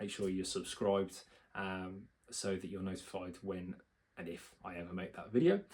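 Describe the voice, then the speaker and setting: Mumbled speech with fairly even intonation. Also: man. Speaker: self-help video creator, doctorate holder. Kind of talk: motivational talk to camera. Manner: fast; mumbling, filler words.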